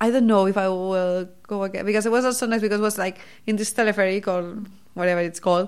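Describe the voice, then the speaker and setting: In a very clean recording with a silent background, a woman with a Catalan accent speaks at a very fast pace. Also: medium pitch for a woman, fairly even intonation. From Spain, Barcelona. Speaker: PhD student in cancer biology. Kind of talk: casual interview.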